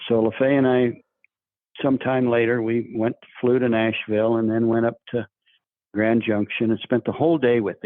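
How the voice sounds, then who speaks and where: Speaking with an American accent, a man keeps a moderate pace, a medium pitch and fairly even intonation. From Oregon, US. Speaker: dog breeder and trainer. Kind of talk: podcast interview storytelling. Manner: casual, halting with repetitions.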